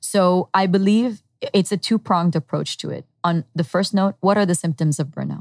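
An ordinary speaking voice comes from a woman at a medium pitch and moderate pace, with ordinary pitch variation. The recording is dry and close, without echo. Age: 30s. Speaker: entrepreneur and former lawyer. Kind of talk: interview.

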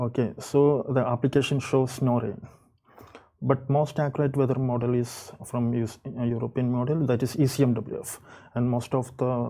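With an Indian accent, a man speaks fairly slowly at a medium pitch in a dark, mellow tone with fairly even intonation. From India, Kerala. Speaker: storm chaser, weather enthusiast. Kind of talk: interview. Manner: halting.

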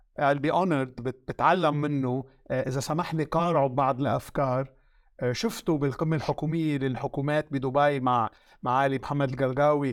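Speaking at a fairly slow pace with a Lebanese accent, a man keeps his intonation fairly even. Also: fairly high pitch for a man, very clean recording, silent background. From Lebanon. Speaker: media consultant. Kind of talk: interview.

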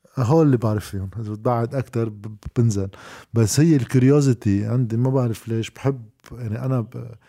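A man speaks at a moderate pace with a medium pitch, a dark, mellow tone and fairly even intonation, on a very clean recording with a silent background. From Lebanon. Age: 30s. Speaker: journalist. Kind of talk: casual chat.

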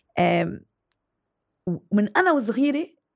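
A woman is speaking. Her pace is very slow. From Lebanon. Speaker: TV presenter and writer. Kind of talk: interview.

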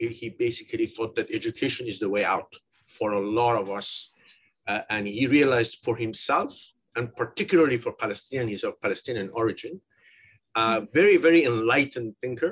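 Long, frequent pauses break up a man's moderately paced speech. His voice is somewhat breathy. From Iran. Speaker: innovation center director. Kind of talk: interview. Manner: halting.

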